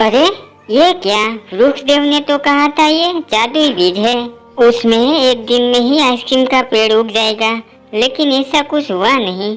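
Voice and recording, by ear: A cartoonish character voice, female-sounding and high-pitched for a woman, with faint music in the background. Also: moderate pace.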